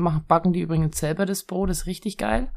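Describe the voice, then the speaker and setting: A dark, mellow tone with ordinary pitch variation comes through on a very clean recording with a silent background. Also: woman. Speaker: co-host's partner. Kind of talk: casual chat. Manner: laughs a lot.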